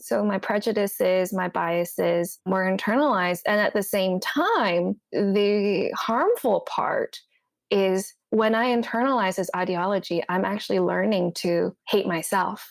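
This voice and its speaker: A woman's medium-pitched voice with a Cantonese accent, fairly slow and with hardly any pauses, showing ordinary pitch variation and very even loudness. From Hong Kong, moved to Canada at eight. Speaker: therapist. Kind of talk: podcast interview.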